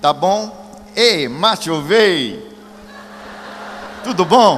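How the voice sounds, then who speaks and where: A man with an English accent, ordinary pitch variation, and noticeable background noise. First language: English (speaking Portuguese). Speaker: evangelist. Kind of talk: sermon. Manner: animated.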